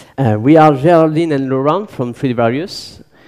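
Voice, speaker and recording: With a French accent, a man speaks at a moderate pace with ordinary pitch variation. His fairly high voice has a dark, mellow tone. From southern France. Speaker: violinist and engineer. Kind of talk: conference talk.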